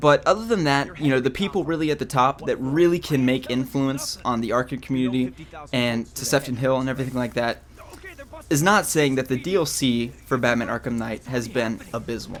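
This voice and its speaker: A man's voice sits at a medium pitch and rises and falls in an ordinary way. He goes at a fairly quick clip, with noticeable background noise behind him. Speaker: gaming youtuber. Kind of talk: rant video. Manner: halting, stuttering.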